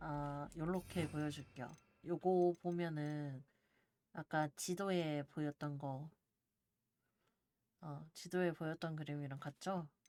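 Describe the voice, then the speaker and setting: In a calm, dark and mellow tone, the speech moves at a very slow pace with long, frequent pauses. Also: woman, very deep, low pitch for a woman, fairly even intonation, dry, close sound with no echo. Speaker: game streamer. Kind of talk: casual live-stream gameplay talk.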